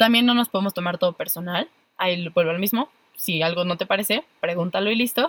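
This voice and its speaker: A woman with a Mexican accent at a medium pitch, very fast pace, ordinary pitch variation, and a dry, close sound with no echo. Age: 20s. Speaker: podcast co-host, psychologist. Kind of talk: casual chat.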